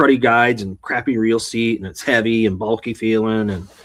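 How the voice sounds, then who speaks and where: A man speaks with a Wisconsin accent. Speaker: bass fishing podcast co-host. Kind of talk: casual chat. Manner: halting.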